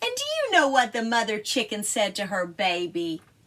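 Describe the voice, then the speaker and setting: A female-sounding voice uses a put-on character voice with a fairly high pitch. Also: moderate pace. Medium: read story.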